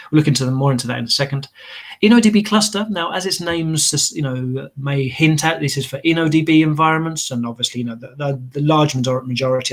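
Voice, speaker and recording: Very fast speech from a man with an English accent, fairly high in pitch, with ordinary pitch variation. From England. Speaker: database solution architect. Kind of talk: technical webinar presentation. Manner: hesitant with fillers and repetitions.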